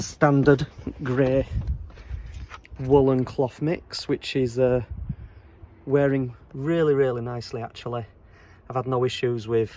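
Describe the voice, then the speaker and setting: The speaker has a Leeds accent. The intonation is fairly even. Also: man. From Leeds, England. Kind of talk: casual car review to camera. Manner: rambling, hesitant.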